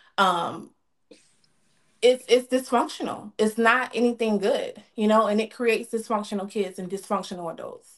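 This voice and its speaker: A woman with an American accent speaks at a fairly high pitch and a moderate pace. Her pitch varies in an ordinary way, while her loudness swings widely. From US South, Georgia. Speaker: streamer. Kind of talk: interview.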